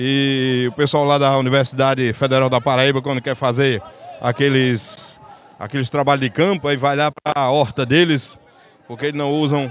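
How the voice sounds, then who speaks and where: A man talks at a moderate pace in a dry sound with no echo, with light background noise behind him. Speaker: market reporter. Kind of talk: informal street interview and commentary. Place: market. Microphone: handheld.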